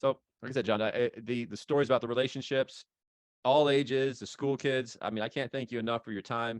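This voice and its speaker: Against a quiet background and with a dry, close sound with no echo, a man with an American accent talks at a very fast pace, at medium pitch, with fairly even intonation. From Los Angeles, California. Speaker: podcast host, veterans outreach founder. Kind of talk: interview. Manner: halting, many repetitions.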